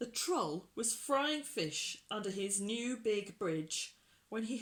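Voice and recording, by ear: With lively intonation, a natural voice reads aloud.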